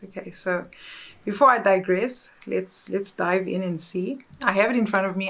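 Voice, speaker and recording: Speaking with a South African accent, a woman has a relaxed tone. Her pitch is medium and her intonation fairly even. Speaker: content creator. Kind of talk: casual chat. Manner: halting.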